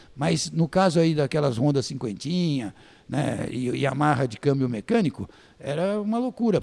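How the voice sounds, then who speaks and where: Fairly high male voice with a dark, mellow tone and lively intonation. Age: 60s. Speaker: former press officer and journalist. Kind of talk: casual interview storytelling.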